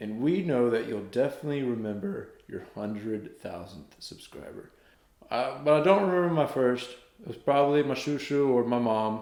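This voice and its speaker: Speaking at a moderate pace with a Southern US accent, a man uses lively intonation and a medium pitch, with big swings in loudness and audible room echo. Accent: Southern American. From US South, North Carolina. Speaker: YouTuber and singer. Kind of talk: casual vlog, reading a letter aloud. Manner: animated.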